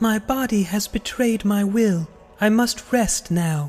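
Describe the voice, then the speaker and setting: The voice is fairly high and keeps a very even loudness. Its pace is fairly slow. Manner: formal, sorrowful.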